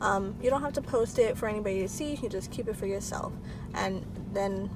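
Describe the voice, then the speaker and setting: Audible room echo surrounds a woman's voice. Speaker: lifestyle vlogger. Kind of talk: casual vlog monologue. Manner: filler-heavy, conversational.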